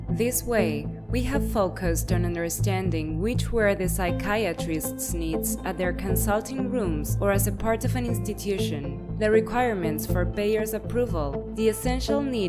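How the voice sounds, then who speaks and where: Music plays in the background as a woman speaks at a moderate pace. She leaves hardly any pauses. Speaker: voice actor / voice-over artist. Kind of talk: corporate narration, pharmaceutical presentation.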